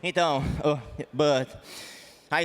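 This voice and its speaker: Speaking at a very slow pace, this man has a Portuguese accent. Noticeable background noise runs underneath. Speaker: MMA fighter. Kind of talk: post-fight interview. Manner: halting.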